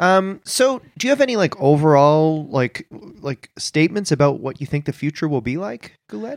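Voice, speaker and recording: A man's plain, everyday voice in a Canadian accent, fairly high in pitch with lively intonation, at a moderate pace with hardly any pauses, in a dry, close sound with no echo. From Canada. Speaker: comedy podcast co-host. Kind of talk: comedic podcast banter. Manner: playful, jokey.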